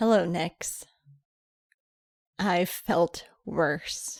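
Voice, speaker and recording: A female-sounding put-on character voice sits at a medium pitch for a woman. It sounds strained. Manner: strained, grim.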